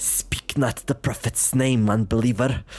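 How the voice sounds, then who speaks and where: A man puts on a growling, hissing character voice at medium pitch and a moderate pace. His tone is menacing and his intonation stays flat and monotone. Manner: menacing hiss, growl.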